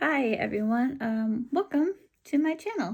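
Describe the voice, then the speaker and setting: A woman with an American accent speaks in a somewhat breathy voice with a dark, mellow tone. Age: 30s. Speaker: book vlogger. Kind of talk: casual vlog talk. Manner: halting, many ums.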